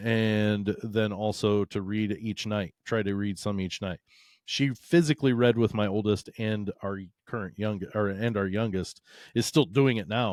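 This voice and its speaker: A man with a fairly low pitch talks at a fairly slow pace with fairly even intonation. The sound is dry and close with no echo, a very clean recording with a silent background. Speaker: social studies teacher. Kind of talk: casual chat.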